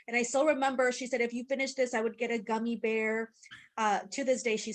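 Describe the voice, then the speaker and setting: In a Spanish accent, a woman talks at a fairly high pitch. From Mexico. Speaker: podcast co-host. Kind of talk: podcast interview.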